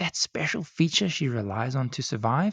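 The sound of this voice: The reading voice is unforced, and its intonation is lively.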